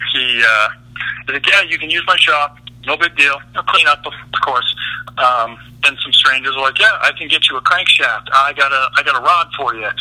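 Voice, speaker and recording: Over noticeable background noise, a man with a fairly high pitch speaks at a moderate pace with ordinary pitch variation, the sound dry and close with no echo. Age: 30s. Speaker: custom truck fabricator. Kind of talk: interview.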